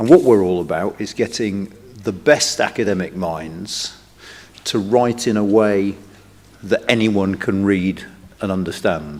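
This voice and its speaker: A man with a plain, everyday voice talks at a fairly slow pace and a fairly low pitch, with ordinary pitch variation. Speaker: think tank director opening a conference. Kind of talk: welcome speech.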